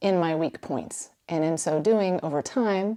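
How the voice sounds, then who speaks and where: Fairly slow, fairly low-pitched speech from a woman with a Texan accent and a dark, mellow tone. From East Texas, Huntsville. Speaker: filmmaker and songwriter. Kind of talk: scripted narration.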